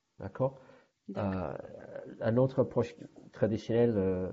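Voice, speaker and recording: A man speaks at a moderate pace with an English accent. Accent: English-speaking accent in French. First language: English (speaking French). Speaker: language training manager. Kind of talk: interview. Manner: halting, with frequent repetitions.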